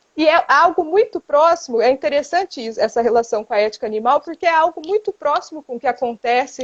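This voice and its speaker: Recorded with a dry, close sound and no echo, a woman speaks at a moderate pace with lively intonation. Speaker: philosophy professor. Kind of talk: lecture. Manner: halting.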